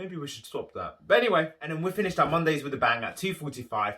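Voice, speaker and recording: A man speaks with a London accent in a bright, sharp tone. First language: not English. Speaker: musical theatre performer and vlogger. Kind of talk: casual vlog talk.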